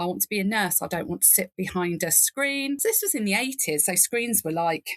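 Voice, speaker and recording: A woman speaks at medium pitch in a British accent. The sound is dry and close, with no echo. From England. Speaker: nurse and nursing informatics leader. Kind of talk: podcast interview. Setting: remote call from garden reading nook.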